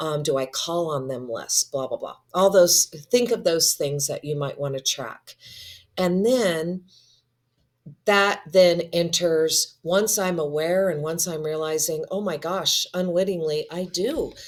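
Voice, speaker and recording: A woman with an ordinary speaking voice talks at a fairly slow pace, her fairly low pitch showing ordinary variation. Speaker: instructional coach. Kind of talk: casual chat.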